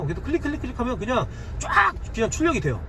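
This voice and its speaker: A man talks at a very fast pace in an animated tone over noticeable background noise. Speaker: online seller and YouTuber. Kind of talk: casual tutorial monologue.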